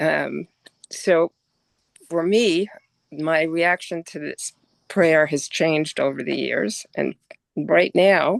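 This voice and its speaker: Very slow delivery broken by long, frequent pauses. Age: 70s. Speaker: congregation member. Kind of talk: discussion on a call.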